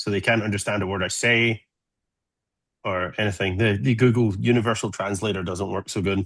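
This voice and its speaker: Fairly even intonation and a fairly quick pace mark this voice with an American accent, set against a quiet background. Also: man, fairly low pitch for a man. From Scotland, Glasgow. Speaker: solar physicist. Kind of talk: presentation to amateur radio group.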